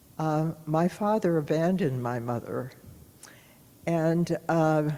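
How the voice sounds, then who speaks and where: A woman's very deep, low voice with a dark, mellow tone, ordinary pitch variation and a very slow pace. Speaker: longtime congregation member sharing life story. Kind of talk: testimony. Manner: halting.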